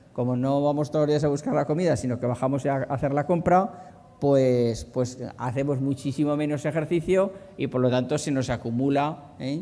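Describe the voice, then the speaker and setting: Against music in the background, a man with a fairly high pitch speaks with hardly any pauses and ordinary pitch variation. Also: moderate pace. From inland Spain. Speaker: doctor giving a talk on healthy eating. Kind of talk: conference talk. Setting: conference hall with audience. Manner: hesitant, many fillers and repetitions.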